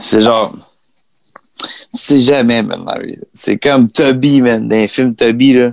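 At a very slow pace with long, frequent pauses, a man speaks at a medium pitch with fairly even intonation. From Quebec. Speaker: singer. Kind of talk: casual chat.

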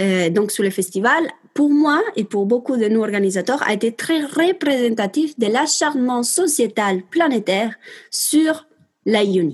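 In an Italian accent, a woman speaks at a very slow pace. Her high pitch carries lively intonation. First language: Italian (speaking French). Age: 20s. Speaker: perinatal support worker. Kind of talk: interview.

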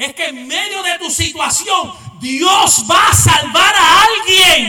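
This man uses a raised, projected voice, and his pitch swings very widely. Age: 40s. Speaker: pastor. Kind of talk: sermon. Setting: church. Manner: animated.

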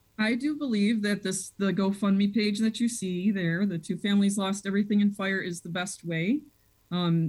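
At a moderate pace, a woman with an American accent speaks in a somewhat breathy voice of medium pitch. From Chicago area (Des Plaines). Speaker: school principal. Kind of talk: radio interview.

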